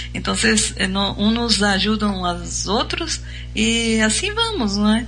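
A woman speaks very slowly in a room with audible echo, music playing behind her. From Brazil. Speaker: radio host. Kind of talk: casual chat.

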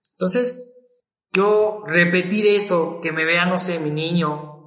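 A man speaks in a high pitch. His pitch varies in an ordinary way. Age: 30s. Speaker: business administrator. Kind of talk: casual chat.

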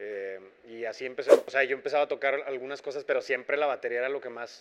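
A man at medium pitch, very fast pace and fairly even intonation, with big swings in loudness. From Mexico, Monterrey. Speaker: jazz drummer. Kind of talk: casual interview chat. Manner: halting, many fillers.

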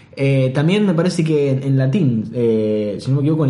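In a Rioplatense accent, a somewhat breathy voice with a dark, mellow tone and lively intonation carries audible room echo. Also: man. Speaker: podcast host. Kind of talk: casual chat.

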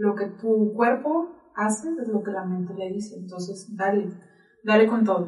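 Room echo is audible as a woman talks with ordinary pitch variation. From Mexico, Sonora (Nogales). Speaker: marathon runner and health practitioner. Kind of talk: interview conversation. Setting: studio.

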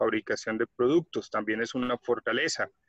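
The sound is dry and close, with no echo. A man rushes through his words at a very fast pace. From Colombia. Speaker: quality management consultant. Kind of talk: tutorial.

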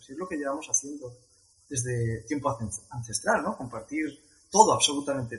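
Speaking at a fairly quick pace with long, frequent pauses, a man's fairly high, somewhat breathy voice shows ordinary pitch variation and big swings in loudness. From Spain, Madrid (Leganés). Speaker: travel coordinator. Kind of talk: interview.

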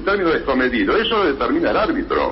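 A man talks at a very fast pace. The room echoes audibly, and background noise is noticeable. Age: 60s. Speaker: sports disciplinary tribunal president. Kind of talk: radio interview.

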